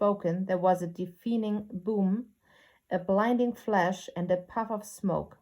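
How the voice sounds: This clip features a natural reading voice.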